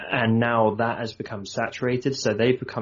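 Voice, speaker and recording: The speaker is a man with a southern English accent. His intonation is monotone and flat. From southern England, Surrey. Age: 30s. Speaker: entrepreneur and designer. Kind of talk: casual interview chat.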